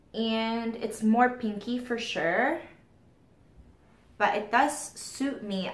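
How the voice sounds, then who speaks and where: A fairly high-pitched woman's voice at a very slow pace, with audible room echo. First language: not English. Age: 30s. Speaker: beauty vlogger. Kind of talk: casual chat.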